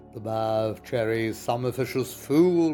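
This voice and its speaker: Music plays in the background. A man speaks in a fairly low voice. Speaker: poetry reciter. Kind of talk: poetry reading.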